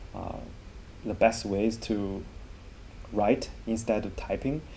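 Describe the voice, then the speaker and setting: A man with a Chinese accent speaks at a fairly slow pace and a fairly low pitch. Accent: Mandarin Chinese. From China. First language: Mandarin Chinese. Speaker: language teacher. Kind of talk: tutorial. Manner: halting.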